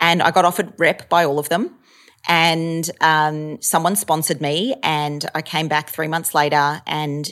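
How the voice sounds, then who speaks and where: A woman with an Australian accent speaks in a very deep, low voice with fairly even intonation. The recording is very clean, with a silent background. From Australia, Melbourne. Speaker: actor and stand-up comedian. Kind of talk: casual chat. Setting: apartment.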